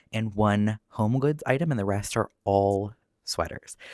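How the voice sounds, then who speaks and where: Soft-spoken and fairly low-pitched, a man talks at a fairly slow pace with lively intonation in a dry, close sound with no echo on a very clean recording with a silent background. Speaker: knitting youtuber. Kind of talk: casual chat. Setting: at home, window open. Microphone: new proper microphone.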